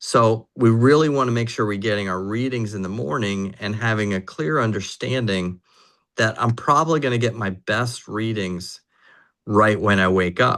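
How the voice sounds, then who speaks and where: Over a quiet background, a man speaks in a plain, everyday voice at a moderate pace. His pitch is fairly low, with ordinary variation. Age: 60s. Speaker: neurofeedback practitioner presenting to clients. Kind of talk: online presentation.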